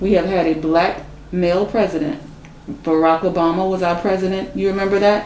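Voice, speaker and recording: A woman speaks at a medium pitch with monotone, flat intonation and very even loudness, at a fairly quick pace. Noticeable background noise can be heard. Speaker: interviewer. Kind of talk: interview questions.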